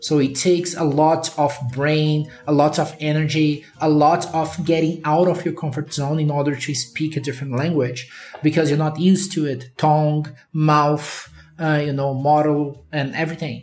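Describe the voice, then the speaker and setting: Speaking in a Brazilian accent, a man with a fairly high pitch talks at a moderate pace with monotone, flat intonation. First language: Portuguese. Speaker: podcast host, data engineer. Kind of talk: casual interview chat.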